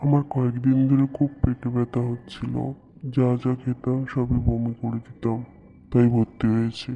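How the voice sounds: A man puts on a cartoonish character voice at a medium pitch. He keeps a moderate pace and a monotone, flat intonation.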